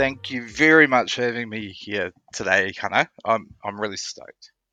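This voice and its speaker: A man with a New Zealand accent and a medium-pitched, bright, sharp tone, his loudness swinging widely and his pitch varying ordinarily, in a dry, close sound with no echo over a quiet background. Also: moderate pace. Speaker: podcast guest, traveller. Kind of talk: casual interview chat.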